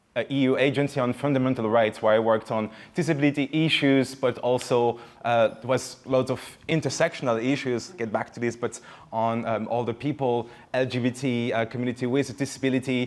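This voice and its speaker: The speaker, with a French accent, moves at a fairly quick pace with fairly even intonation. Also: man, medium pitch for a man. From France. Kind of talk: panel talk. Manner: halting.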